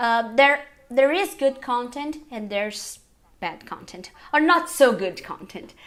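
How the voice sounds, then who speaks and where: A fairly slow delivery in a Portuguese accent, with very wide pitch swings and big swings in loudness. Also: woman, high pitch for a woman. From Brazil. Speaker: English teacher and YouTuber. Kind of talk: interview.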